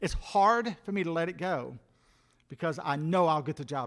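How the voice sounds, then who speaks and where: An ordinary speaking voice, from a man at a fairly high pitch with lively intonation and a moderate pace. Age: 60s. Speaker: pastor. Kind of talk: sermon.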